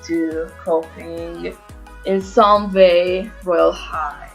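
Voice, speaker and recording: A woman with a fairly low pitch speaks with music in the background. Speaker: gaming commentator. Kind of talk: casual gameplay commentary.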